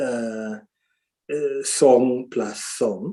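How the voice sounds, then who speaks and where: His voice has a dark, mellow tone. The man speaks at a medium pitch. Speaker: musician. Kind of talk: interview. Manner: halting, many fillers.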